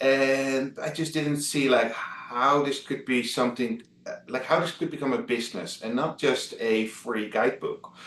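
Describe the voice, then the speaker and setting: This man speaks at a moderate pace with hardly any pauses, his pitch medium and its variation ordinary. Noticeable background noise runs behind him. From Netherlands, Amsterdam. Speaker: travel blogger. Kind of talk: interview. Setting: video call. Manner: halting, many fillers.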